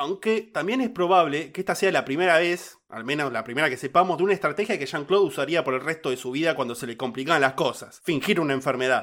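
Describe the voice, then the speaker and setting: A man with a Rioplatense accent talks very fast with hardly any pauses, his fairly high voice marked by lively intonation, in a very clean recording with a silent background. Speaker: podcast host narrating true crime cases. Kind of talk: casual chat; storytelling narration of a true crime case.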